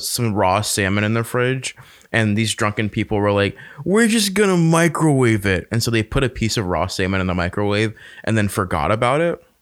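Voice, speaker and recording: With an American accent, a man uses an ordinary speaking voice at a medium pitch, moving at a fairly quick pace with lively intonation. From North Carolina (Fayetteville). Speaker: podcast host. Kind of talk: casual chat.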